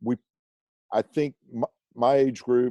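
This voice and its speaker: With an American accent, a man speaks at medium pitch in a dark, mellow tone with fairly even intonation, the sound dry and close with no echo. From Oklahoma and Mississippi, US South. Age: 60s. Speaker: university alumni director. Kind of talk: interview.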